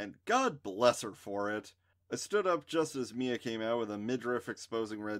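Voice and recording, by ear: Lively intonation marks this natural voice as it reads aloud.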